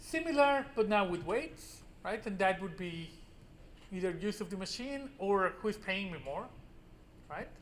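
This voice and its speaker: With long, frequent pauses and a fairly slow pace, a man at a high pitch uses lively intonation, and audible room echo surrounds him. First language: Spanish. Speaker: university professor. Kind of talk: lecture. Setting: classroom with students. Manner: casual with frequent fillers.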